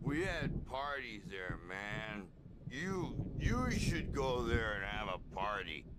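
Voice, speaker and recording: A man's gruff, put-on character voice at a very slow pace, over loud background noise. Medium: video game. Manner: slangy, gruff.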